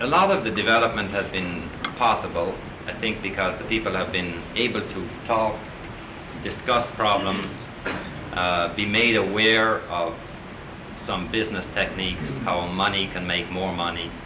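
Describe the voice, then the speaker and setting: A man's fairly low, fairly even voice at a moderate pace, long, frequent pauses, audible room echo and noticeable background noise. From Newfoundland, Canada. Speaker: co-op organizer, guest lecturer. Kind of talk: lecture.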